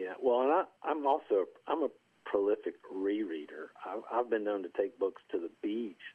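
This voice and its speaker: A man in an Appalachian accent speaks at a moderate pace with ordinary pitch variation. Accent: Southern Appalachian US. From US South, rural southwest Virginia (Appalachia). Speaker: golf course superintendent and columnist. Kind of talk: casual interview.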